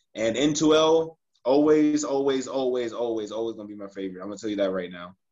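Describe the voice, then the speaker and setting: Speaking with an American accent and an unremarkable speaking voice, a man at medium pitch talks at a fairly quick pace with lively intonation and big swings in loudness. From United States. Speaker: professional football goalkeeper. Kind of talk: interview.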